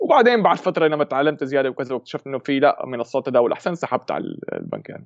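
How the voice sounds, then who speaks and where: Talking at a very fast pace with hardly any pauses, a man uses lively intonation in a fairly high pitch. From Syria (Damascus). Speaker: YouTuber on investing. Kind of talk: casual chat.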